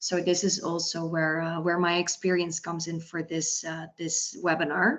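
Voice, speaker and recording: Speaking with a Dutch accent, a woman uses a fairly low pitch and monotone, flat intonation. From Netherlands. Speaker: recruitment consultant. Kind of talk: webinar panel talk.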